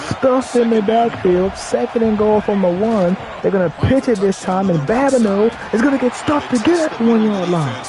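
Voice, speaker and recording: A woman talks with lively intonation at a fairly high pitch. There is noticeable background noise behind her. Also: fairly quick pace. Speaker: gaming streamer. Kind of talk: live commentary. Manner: whispering; animated.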